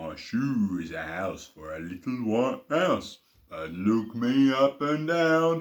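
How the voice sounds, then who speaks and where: A man puts on a character voice, pitched at a medium level, and talks at a very slow pace. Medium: read story. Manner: cheerful, singsong.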